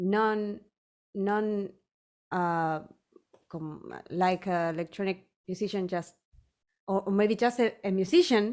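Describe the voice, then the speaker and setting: Using a Spanish accent, a woman at medium pitch talks at a very slow pace with fairly even intonation and long, frequent pauses. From Chile, small town. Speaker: electronic music producer and singer. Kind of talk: interview. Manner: halting, many repetitions.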